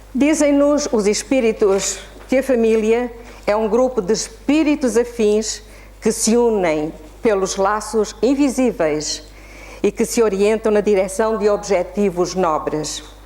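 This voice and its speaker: Over noticeable background noise, a woman talks at a fairly slow pace with a fairly high pitch, lively intonation and very even loudness. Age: 70s. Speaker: spiritist lecturer and children's author. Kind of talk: lecture.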